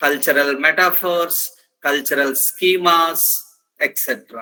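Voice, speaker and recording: Bright and sharp in tone, a man's high voice carries an Indian accent. His pace is moderate. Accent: Indian English, Telugu. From India, Andhra Pradesh. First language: Telugu. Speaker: professor. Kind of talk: lecture. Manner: halting, with frequent fillers.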